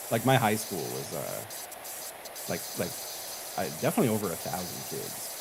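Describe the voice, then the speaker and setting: The speaker has an American accent and a moderate pace. Long, frequent pauses break up the speech over noticeable background noise. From Long Island, New York. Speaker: streamer guest. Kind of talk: casual chat.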